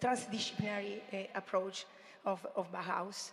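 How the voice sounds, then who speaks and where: A woman talks with fairly even intonation, with audible room echo around her. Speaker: marine biologist and teacher presenting project work. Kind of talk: conference presentation. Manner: halting, many fillers.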